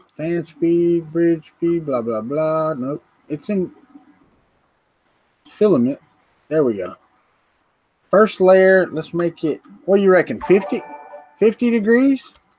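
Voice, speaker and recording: Speaking very slowly with long, frequent pauses, a man uses lively intonation at a high pitch. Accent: strong Southern US. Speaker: 3D printing hobbyist co-host. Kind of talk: casual chat. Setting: live stream video call.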